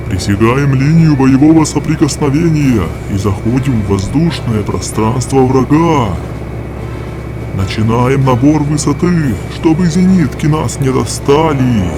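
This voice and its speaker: In a cartoonish character voice at medium pitch, a man talks at a moderate pace with long, frequent pauses over loud background noise. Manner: calm, clipped military.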